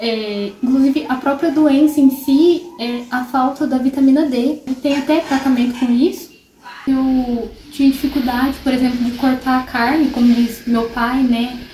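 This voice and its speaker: A high-pitched woman speaks at a fairly slow pace with fairly even intonation. Noticeable background noise can be heard. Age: 20s. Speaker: vlogger living with multiple sclerosis. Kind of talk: personal testimony vlog. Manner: casual, with many filler pauses.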